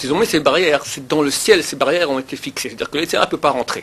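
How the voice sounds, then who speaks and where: A man with a fairly high pitch talks very fast over noticeable background noise. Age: 40s. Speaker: rabbi. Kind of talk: lecture. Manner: animated.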